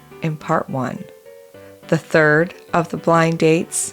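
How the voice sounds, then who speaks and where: Music sits in the background. The words come at a very slow pace. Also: woman. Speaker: podcast host. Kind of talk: documentary narration.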